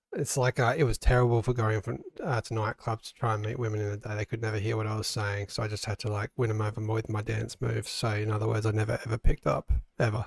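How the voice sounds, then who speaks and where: Quiet and somewhat breathy, a man talks at a very fast pace and a fairly low pitch with fairly even intonation, in a dry, close sound with no echo. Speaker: gaming stream co-host. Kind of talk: casual chat. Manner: quiet, low volume.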